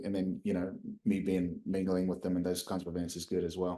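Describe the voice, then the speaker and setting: A man with a New Zealand accent speaks in a dark, mellow tone. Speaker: company founder and CEO. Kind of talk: podcast interview.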